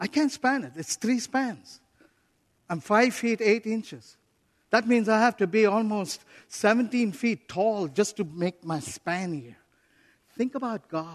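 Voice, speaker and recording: The tone is animated, though the pace is fairly slow. Long pauses come often against a quiet background. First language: not English. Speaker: visiting preacher, missionary leader. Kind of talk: sermon. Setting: church pulpit with congregation, also streamed online.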